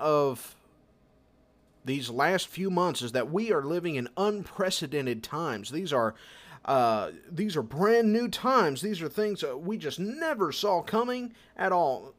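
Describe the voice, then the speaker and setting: In a very clean recording with a silent background, a man with a high pitch speaks fairly slowly, his pitch swinging very widely. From United States. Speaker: podcast host. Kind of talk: casual monologue and interview. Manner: hesitant, many fillers.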